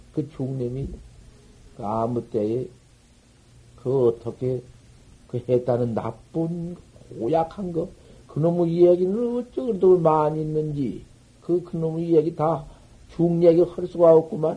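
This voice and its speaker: A man's dark, mellow tone at a very slow pace, lively in intonation, with long, frequent pauses. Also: fairly high pitch for a man. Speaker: Buddhist master. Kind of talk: dharma talk. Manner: animated storytelling.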